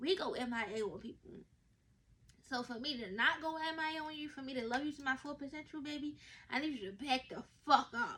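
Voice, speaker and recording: The voice is raised and projected, with a bright, sharp, animated tone, lively intonation, big swings in loudness and a fairly quick pace. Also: woman, high pitch for a woman. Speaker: podcast host. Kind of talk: casual monologue. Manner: fast.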